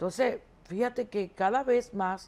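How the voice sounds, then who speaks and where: A woman with a dark, mellow tone speaks at a medium pitch, her pitch rising and falling in an ordinary way. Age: 60s. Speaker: economist. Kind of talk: TV interview.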